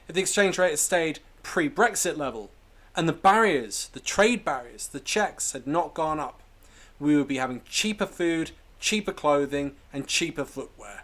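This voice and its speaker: A man with a British accent speaks at a moderate pace in a fairly high pitch. His intonation is lively, and the recording is very clean with a silent background. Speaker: political commentary youtuber. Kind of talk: political commentary narration.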